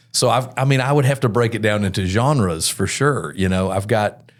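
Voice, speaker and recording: An unremarkable speaking voice with an American accent shows ordinary pitch variation. The recording is very clean, with a silent background. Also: man. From US South, Mobile, Alabama. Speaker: worship pastor. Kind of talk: podcast interview.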